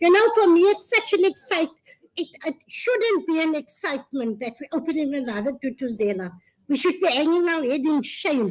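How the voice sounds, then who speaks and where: A high-pitched woman with a South African accent and very wide pitch swings. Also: moderate pace. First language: Afrikaans. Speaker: gender-based violence service provider. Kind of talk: public speech. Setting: launch event with audience.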